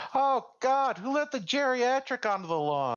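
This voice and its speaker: A put-on character voice, pitched fairly high, moves along at a moderate pace. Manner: snide, sarcastic.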